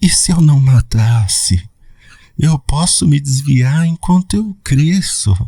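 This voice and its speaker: Whispering in a put-on character voice, a man sounds breathy and hissing at a fairly slow pace. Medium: audio drama. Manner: weak and frightened, whimpering like crying babies.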